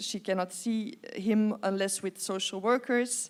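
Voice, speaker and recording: A woman speaks with a Dutch accent. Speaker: interviewer, writer. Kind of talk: live stage conversation. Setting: stage with audience. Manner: halting.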